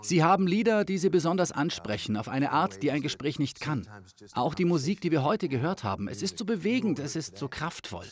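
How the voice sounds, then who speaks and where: On a very clean recording with a silent background, a man talks at a fairly quick pace in a fairly high pitch with very wide pitch swings and vocal fry. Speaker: voice actor and worship leader. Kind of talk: interview.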